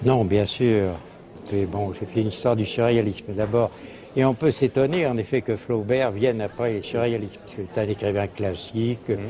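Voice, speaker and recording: A man's medium-pitched speech comes through with noticeable background noise behind it. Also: ordinary pitch variation, moderate pace. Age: 80s+. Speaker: publisher and literary journalist. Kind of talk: interview answer.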